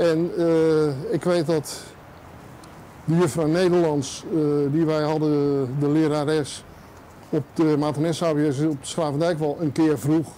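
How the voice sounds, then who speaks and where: Over light background noise, a man with a fairly high pitch speaks at a very slow pace, with long, frequent pauses, monotone, flat intonation and very even loudness. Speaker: journalist. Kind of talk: casual interview. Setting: on location walking tour. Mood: relaxed, nostalgic. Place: street. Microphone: lapel.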